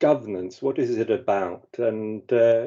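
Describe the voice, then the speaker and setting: A fairly slow delivery with an English accent. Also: man. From England. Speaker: governance expert, presenter. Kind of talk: webinar presentation. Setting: webinar. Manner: hesitant, many fillers.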